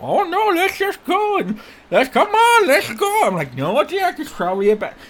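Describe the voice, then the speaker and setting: A man's put-on character voice at a moderate pace. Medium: actual play. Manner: exasperated, rambling.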